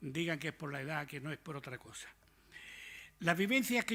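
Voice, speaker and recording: Speaking at a fairly quick pace, a man has a fairly high pitch and a bright, sharp tone. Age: old. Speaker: retired army officer. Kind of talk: talk to an audience. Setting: lecture hall with audience. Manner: informal, conversational.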